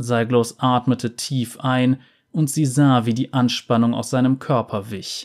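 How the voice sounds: Simply a natural reading voice.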